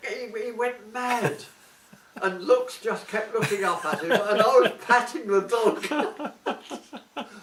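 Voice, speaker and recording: A man speaks at an extremely high pitch with lively intonation. He goes at a very slow pace over noticeable background noise. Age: old. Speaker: war veteran. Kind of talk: interview answer.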